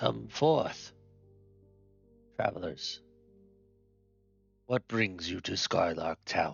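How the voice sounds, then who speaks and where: A man puts on a character voice with a very deep, low pitch. He speaks very slowly with long, frequent pauses as faint music plays in the background. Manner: speaking formally, summoning travelers.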